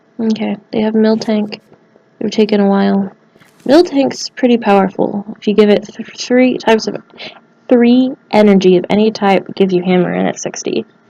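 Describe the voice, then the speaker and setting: A woman speaks quietly at a moderate pace, with a fairly high pitch and ordinary pitch variation. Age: adult, works at a college. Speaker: gaming video creator. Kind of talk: let's play commentary. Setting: study room in a college library. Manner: quiet, holding voice down; animated.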